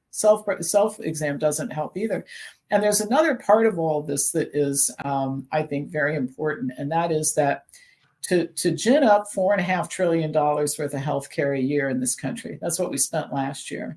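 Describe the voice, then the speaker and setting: A woman with a very deep, low voice speaks at a moderate pace with lively intonation. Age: 60s. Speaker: naturopath and health expert. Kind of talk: interview.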